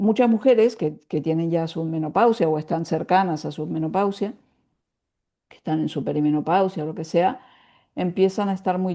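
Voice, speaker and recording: A woman's fairly low voice with a dark, mellow tone, over a quiet background. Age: 70s. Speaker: writer and women's spirituality teacher. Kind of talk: interview.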